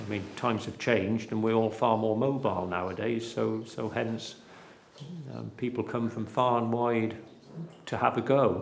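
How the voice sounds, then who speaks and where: A man speaks in a West Country accent at a moderate pace and medium pitch, with monotone, flat intonation. Noticeable background noise and audible room echo are present. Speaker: cheesemaker and dairy farmer. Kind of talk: documentary interview.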